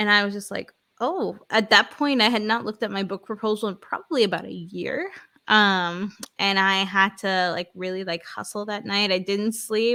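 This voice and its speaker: A woman speaks with an American accent in a bright, sharp tone and fairly even intonation. The recording is very clean, with a silent background. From New York City (Queens). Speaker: author and business coach. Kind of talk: interview.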